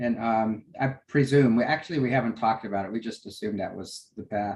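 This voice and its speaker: The man's words come out rather quickly. There is a slight breathiness to his voice. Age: 60s. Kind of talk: casual chat. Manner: halting, many fillers.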